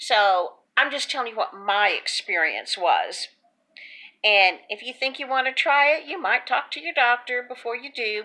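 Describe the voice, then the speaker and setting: A woman with a Texas accent speaks at a high pitch in a bright, sharp tone, with lively intonation and big swings in loudness. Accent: Texas drawl. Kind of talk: casual talk to camera. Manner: chatty, folksy.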